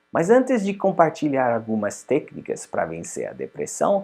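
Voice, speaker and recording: A man with a strong non-native accent and a dark, mellow tone at a fairly slow pace, over a quiet background. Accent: strong foreign accent in Portuguese. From Switzerland. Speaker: psychologist and life coach. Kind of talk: promotional self-help talk.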